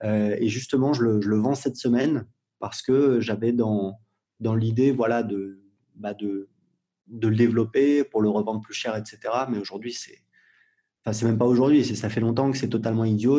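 Here a man speaks at medium pitch with a dark, mellow tone. His pace is moderate and his intonation fairly even. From Paris suburbs (Gennevilliers), France. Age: 40s. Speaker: entrepreneur and blogger. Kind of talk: interview. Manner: casual, hesitant with fillers.

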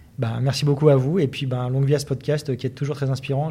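A man speaks at a fairly quick pace in a dark, mellow tone. His voice is somewhat breathy, with monotone, flat intonation. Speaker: sports journalist. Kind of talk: interview. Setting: business club office premises.

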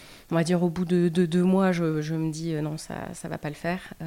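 A woman talks at a fairly slow pace in a fairly low pitch, with a dark, mellow tone and flat, monotone intonation. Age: 40s. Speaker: former lawyer. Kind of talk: interview. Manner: halting.

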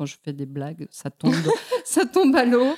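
The voice has a dark, mellow tone, recorded with a dry, close sound and no echo. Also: woman. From Mexico. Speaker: poet. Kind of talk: interview. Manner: halting.

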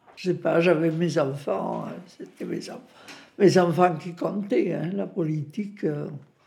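A woman with a fairly low pitch and ordinary pitch variation speaks at a very slow pace amid audible room echo. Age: 90s. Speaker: retirement home resident sharing memories. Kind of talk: interview testimony.

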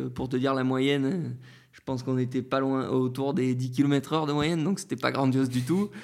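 Speaking at a moderate speed, a man uses a medium pitch. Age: 30s. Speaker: Paralympic para-cyclist. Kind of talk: interview.

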